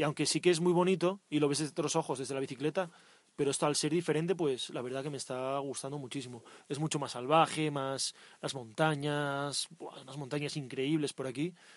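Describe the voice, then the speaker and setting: A man with a normal speaking voice and fairly high pitch speaks at a fairly quick pace with fairly even intonation against a quiet background. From Asturias, northern Spain. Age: 20s. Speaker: cycle tourist podcast co-host. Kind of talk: casual chat. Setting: outdoors.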